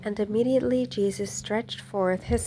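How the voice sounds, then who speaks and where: A woman speaks in a gentle, calm tone at a medium pitch with ordinary variation. Music plays in the background. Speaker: hobby Bible narrator. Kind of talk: scripture reading. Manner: calm, easy.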